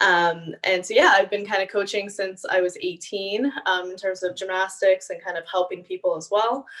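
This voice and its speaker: A woman talks at a moderate pace in a normal speaking voice, with hardly any pauses. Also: medium pitch for a woman, fairly even intonation. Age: 20s. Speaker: kinesiologist and online fitness coach. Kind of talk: interview.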